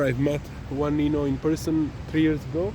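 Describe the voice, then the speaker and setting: Noticeable background noise and audible room echo surround a man speaking at a fairly high pitch with an Italian accent. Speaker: travel vlogger. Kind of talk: walking vlog narration. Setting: outdoors.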